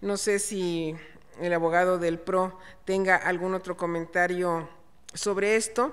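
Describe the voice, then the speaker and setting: In a normal speaking voice, a woman talks at a fairly slow pace with a medium pitch and fairly even intonation. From Chiapas, Mexico. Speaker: panel moderator. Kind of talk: panel discussion.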